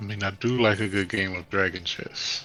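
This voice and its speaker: In a put-on character voice, a man talks with a fairly low pitch at a moderate pace. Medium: actual play.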